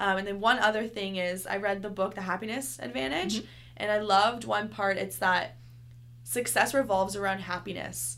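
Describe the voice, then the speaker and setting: At a fairly quick pace, a woman talks with lively intonation, a medium pitch, and vocal fry. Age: 20s. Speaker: fitness instructor. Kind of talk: interview.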